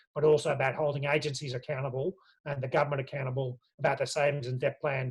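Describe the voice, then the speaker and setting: A man with an Australian accent talks at a very fast pace. His voice is fairly high and somewhat breathy, with fairly even intonation. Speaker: union official. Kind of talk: online briefing. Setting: video call.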